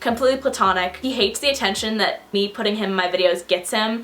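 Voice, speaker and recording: A woman with an American accent talks at a very fast pace and a medium pitch, with ordinary pitch variation and noticeable background noise. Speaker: YouTuber. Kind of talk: casual chat.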